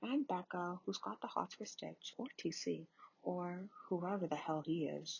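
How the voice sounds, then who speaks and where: A soft-spoken, somewhat breathy woman talks at a fairly slow pace. Her fairly low pitch carries lively intonation. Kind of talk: ASMR book reading.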